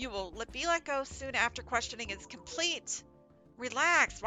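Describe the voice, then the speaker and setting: Over clear background music, a woman puts on a robotic, high-pitched character voice at a moderate pace. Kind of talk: flat, formal. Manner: robotic monotone.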